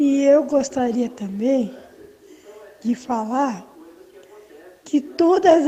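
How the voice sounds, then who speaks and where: Over noticeable background noise, a high-pitched woman talks at a very slow pace. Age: 60s. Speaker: caller. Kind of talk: question to guest.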